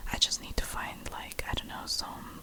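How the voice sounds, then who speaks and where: A woman whispering, with noticeable background noise. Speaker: ASMR creator. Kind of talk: ASMR whispered chat and reading aloud. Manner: halting, many fillers.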